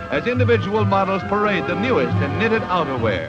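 Clear music sits in the background while the voice, dry with no echo, keeps a moderate pace. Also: man. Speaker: newsreel narrator. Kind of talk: newsreel narration. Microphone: old recording.

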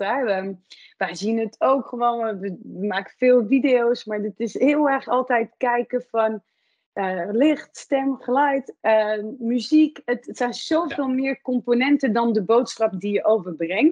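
Her pitch is high and varies in an ordinary way as a woman speaks at a very slow pace. The background is quiet. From France. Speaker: podcast host. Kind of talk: interview conversation. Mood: warm, enthusiastic. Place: office. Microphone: video call.

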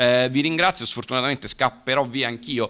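Over light background noise, a man with a medium-pitched voice talks at a very fast pace. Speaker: lawyer. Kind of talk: panel talk; conference talk. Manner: brisk, concise. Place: hall. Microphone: podium.

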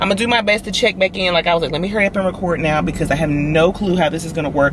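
Over noticeable background noise, a woman with a fairly low pitch is heard in a dry sound with no echo. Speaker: pregnant vlogger. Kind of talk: casual vlog chat. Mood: anxious, uncertain.

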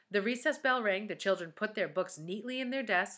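Someone reads aloud plainly. Pitch variation is ordinary.

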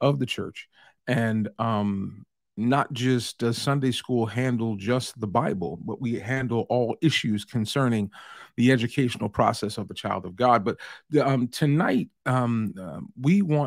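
A man speaks at a fairly slow pace, his voice dry with no echo against a quiet background. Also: ordinary pitch variation. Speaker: pastor leading workshop. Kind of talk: sermon-like lecture. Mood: warm, earnest. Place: home room.

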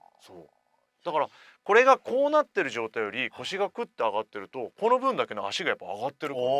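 Over a quiet background, a man talks very fast in a fairly high pitch with very wide pitch swings, big swings in loudness, and a bright, sharp tone, the sound dry with no echo. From Japan, Oita; Japan. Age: 40s. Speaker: radio host. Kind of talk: casual chat. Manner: animated. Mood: surprised, enthusiastic. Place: studio. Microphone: studio mic.

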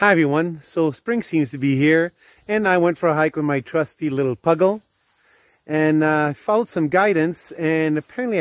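Recorded dry with no echo, a man talks at a moderate pace. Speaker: hiker vlogger. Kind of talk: casual vlog chat. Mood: cheerful, upbeat. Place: open country. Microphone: phone near.

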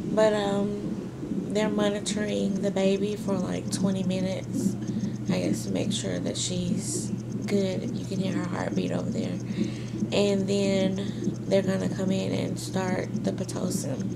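A woman talks at a fairly slow pace over loud background noise. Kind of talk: casual vlog chat. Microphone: phone near.

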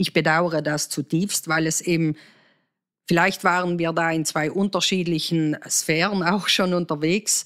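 A woman speaks at a fairly slow pace and fairly low pitch, with monotone, flat intonation and very even loudness. The recording is very clean, with a silent background. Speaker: politician. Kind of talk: interview. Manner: hesitant, many filler sounds.

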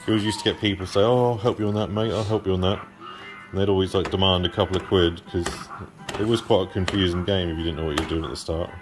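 Clear music plays in the background. The speech moves at a very fast pace. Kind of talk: casual gameplay commentary. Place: cafe. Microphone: phone near.

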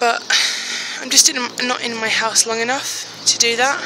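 A woman speaks at a moderate pace over noticeable background noise, in a dry sound with no echo. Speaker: plus size fashion blogger. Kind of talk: casual vlog talk to phone camera. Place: street. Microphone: phone near.

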